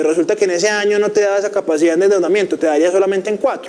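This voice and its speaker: High-pitched male speech at a very fast pace. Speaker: finance teacher. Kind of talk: lecture.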